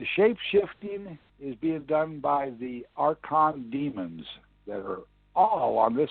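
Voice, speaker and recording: A man with a US Midwestern accent talks at a very slow pace, his pitch swinging very widely, with music playing in the background. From Iowa, US Midwest. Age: 60s. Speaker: independent presidential candidate. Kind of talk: interview.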